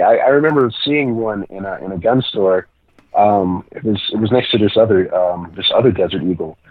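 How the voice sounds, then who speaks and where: A man speaks in a plain, everyday voice at a medium pitch. His pace is moderate and his pitch variation ordinary. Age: 20s. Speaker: pro wrestler. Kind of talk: casual chat.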